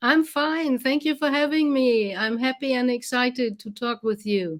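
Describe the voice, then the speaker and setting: The woman's high voice moves at a moderate pace, and its pitch varies in an ordinary way. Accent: German. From Germany. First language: German. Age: 60s. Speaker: medium. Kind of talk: interview.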